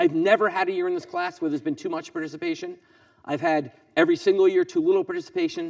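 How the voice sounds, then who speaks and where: Talking at a very fast pace, a man's voice makes very wide pitch swings. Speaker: economics professor. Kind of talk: lecture.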